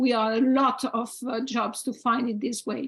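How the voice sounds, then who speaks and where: In a French accent, a woman speaks in a high voice at a fairly slow pace with fairly even intonation. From France. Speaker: heritage volunteer organization representative. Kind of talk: panel discussion. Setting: video call. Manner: halting.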